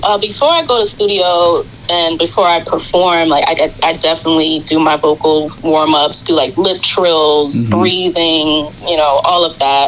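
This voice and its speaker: A woman with a New York accent talks at a moderate pace in a fairly low voice, with hardly any pauses. Her loudness stays very even against noticeable background noise. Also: ordinary pitch variation. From Queens, New York. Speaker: R&B singer and radio host. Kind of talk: interview.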